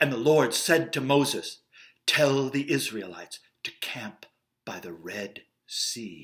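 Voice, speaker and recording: In an American accent, a man speaks at a very slow pace in a medium pitch, with vocal fry and big swings in loudness. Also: lively intonation. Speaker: actor and director. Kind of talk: Bible story storytelling read for kids.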